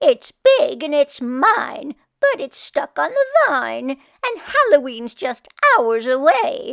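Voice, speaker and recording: A woman puts on a character voice. She speaks at a fairly slow pace with a high pitch. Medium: read story. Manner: grumpy, huffy.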